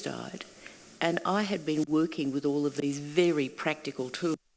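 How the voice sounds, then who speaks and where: A woman's very deep, low voice in an Australian accent at a moderate pace. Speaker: singing teacher and workshop facilitator. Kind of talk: panel conversation. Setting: stage with audience.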